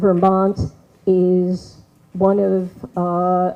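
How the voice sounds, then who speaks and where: In an American accent, a woman speaks at a medium pitch with a dark, mellow tone. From New York. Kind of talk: public meeting speech. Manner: loud.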